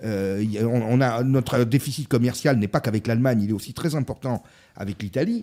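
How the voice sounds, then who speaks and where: The voice has a dark, mellow tone. Its pitch shows ordinary variation. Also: man, medium pitch for a man, moderate pace. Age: 50s. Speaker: business consultant and essayist. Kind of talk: casual political discussion.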